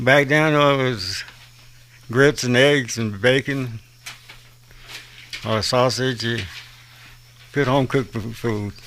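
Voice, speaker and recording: Very slow and full of long, frequent pauses, a man with a Southern US accent speaks at a medium pitch over noticeable background noise. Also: fairly even intonation. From US South, South Carolina. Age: 60s. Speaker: patient with Parkinson's. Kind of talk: radio interview.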